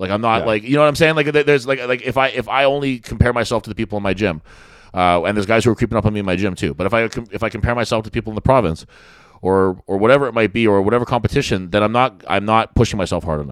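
With a Canadian accent, the speaker goes at a very fast pace with ordinary pitch variation. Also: man, medium pitch for a man. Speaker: podcast host, strongman. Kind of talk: casual chat. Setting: studio.

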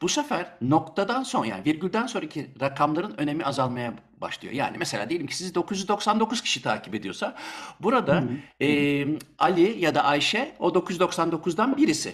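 A man talks at a high pitch, with very wide pitch swings. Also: moderate pace. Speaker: radio host. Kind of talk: interview.

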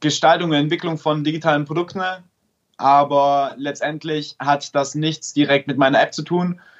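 A man's fairly high-pitched voice, a plain, everyday voice, with fairly even intonation. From Stuttgart, Germany. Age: 20s. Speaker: app developer and startup founder. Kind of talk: casual interview.

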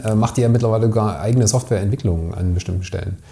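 A man talks at a very fast pace in a medium pitch, with noticeable background noise. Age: 40s. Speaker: agency owner, podcast co-host. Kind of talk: casual interview conversation.

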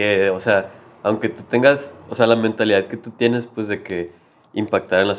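Delivery comes at a moderate speed. The intonation is fairly even, without much rise and fall. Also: man. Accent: Mexican. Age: 20s. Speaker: university student. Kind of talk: casual chat.

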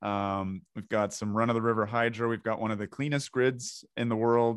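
A man with a Canadian accent speaks in a normal speaking voice at a medium pitch and moderate pace over a quiet background. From Ontario, Canada. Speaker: podcast host and doctor. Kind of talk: interview.

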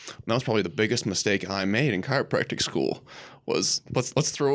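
Set against a silent background in a very clean recording, a normal speaking voice moves at a moderate pace with ordinary pitch variation. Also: man. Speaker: podcast guest, chiropractor.

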